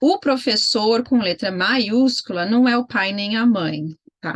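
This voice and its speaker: Her voice is an unremarkable speaking voice. The woman's pitch is fairly high, with ordinary variation. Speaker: homeschooling mentor. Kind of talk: online mentoring session.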